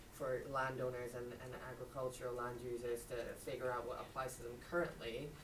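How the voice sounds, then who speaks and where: Fairly brisk talking against noticeable background noise. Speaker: audience member asking a question. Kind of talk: audience question. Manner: loud. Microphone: echoey microphone.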